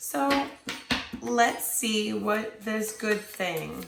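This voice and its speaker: Noticeable noise and an audible room echo surround a woman as she talks. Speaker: tarot reader. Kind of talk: tarot reading. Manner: hesitant, many fillers.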